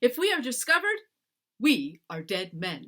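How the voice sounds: A woman uses a put-on character voice, shaky and high-pitched, at a moderate pace. Her pitch makes very wide swings.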